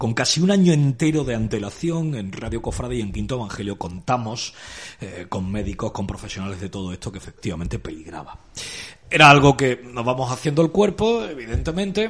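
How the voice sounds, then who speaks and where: A man's somewhat breathy, medium-pitched voice at a fairly quick pace, with very wide pitch swings and big swings in loudness. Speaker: radio host. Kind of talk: radio show. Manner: formal.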